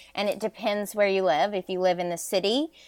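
Recorded very cleanly against a silent background, a woman has a normal speaking voice at medium pitch and a fairly quick pace. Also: dry, close sound with no echo. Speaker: fashion consultant. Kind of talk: interview.

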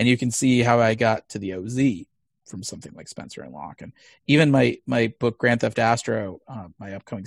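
A man with an American accent speaks at a fairly quick pace. His fairly low pitch has ordinary variation, with a dry, close sound and no echo. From US Midwest (Missouri). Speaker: comic book writer. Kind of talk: interview. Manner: frequent fillers, hesitant.

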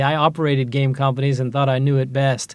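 With an American accent, a man talks at a fairly quick pace in an unremarkable speaking voice pitched fairly high. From US Midwest, Ohio. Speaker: angel investor. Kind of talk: interview. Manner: frequent filler words.

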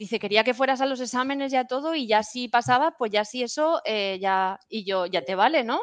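Speech moves at a fairly quick pace with hardly any pauses and ordinary pitch variation. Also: woman, high pitch for a woman. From Spain, Valencia (Puerto de Sagunto). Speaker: cloud specialist, IT consultant. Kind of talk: casual interview.

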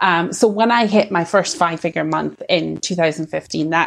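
A woman speaks in a Scottish accent at a fairly low pitch. She goes at a fairly slow pace. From Scottish Borders, Scotland. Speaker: sales coach for women entrepreneurs. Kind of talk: interview.

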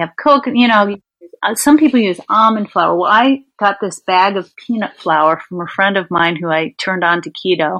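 At a moderate pace, a woman with an American accent speaks at a medium pitch in a bright, sharp tone. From US Northeast, Long Island, New York. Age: 50s. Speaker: physician assistant, podcast guest. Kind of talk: interview, casual chat.

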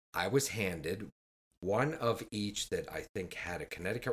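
A man talks at a moderate pace with a fairly low pitch. It is an unremarkable speaking voice, with a dry, close sound and no echo. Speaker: cigar podcast co-host. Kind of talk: casual chat. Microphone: new microphone.

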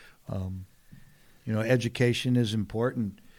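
With a Southern Californian accent, a man talks in a fairly low pitch. His intonation stays fairly even. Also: very clean recording, silent background. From San Diego, California. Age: 60s. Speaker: TV host and retired commercial fisherman. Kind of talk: casual interview conversation. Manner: casual, filler-heavy speech.

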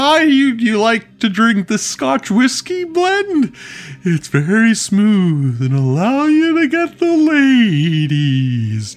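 In a put-on character voice, a man uses a high pitch with very wide pitch swings, keeping his loudness very even at a very slow pace. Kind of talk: cheesy salesman pitch. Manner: hammy, over-the-top.

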